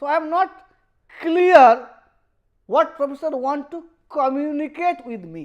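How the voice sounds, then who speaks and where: A high-pitched woman's voice with a Bengali accent and ordinary pitch variation. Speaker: professor. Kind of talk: lecture. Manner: halting.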